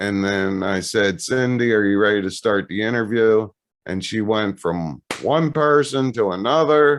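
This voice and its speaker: Talking at a fairly slow pace, a man has an unremarkable speaking voice with a fairly low pitch. His intonation is lively. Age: 60s. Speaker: Orthodox priest, pastor. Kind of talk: casual conversation.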